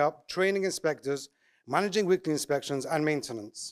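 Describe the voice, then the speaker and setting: A man with an English accent at a fairly quick pace, ordinary pitch variation, in a dry, close sound with no echo. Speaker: eruv coordinator and contractor. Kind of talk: conference talk. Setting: conference with audience.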